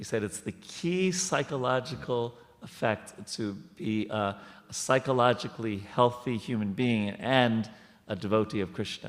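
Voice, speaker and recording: Lively intonation in an American accent. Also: man, medium pitch for a man, moderate pace. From New York. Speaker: temple speaker. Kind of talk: spiritual discussion. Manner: halting.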